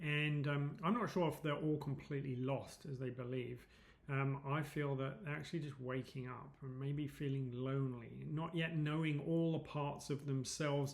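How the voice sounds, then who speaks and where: A somewhat breathy man with an English accent and a fairly high pitch, at a moderate pace with fairly even intonation, hardly any pauses and audible room echo. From England, London. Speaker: psychedelics advocate and presenter. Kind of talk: presentation. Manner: hesitant, many fillers.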